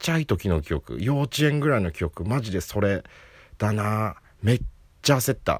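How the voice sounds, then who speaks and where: At a moderate pace, a man speaks with vocal fry and very wide pitch swings in a dry, close sound with no echo. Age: 30s. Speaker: comedian. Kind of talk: casual solo talk. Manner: laughing often.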